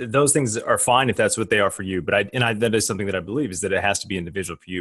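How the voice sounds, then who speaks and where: An American accent comes through at a very fast pace. Pitch variation is ordinary, and the background is quiet. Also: man. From grew up on US Army bases in the US and Germany. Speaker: futurist and graduate school professor. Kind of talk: podcast interview.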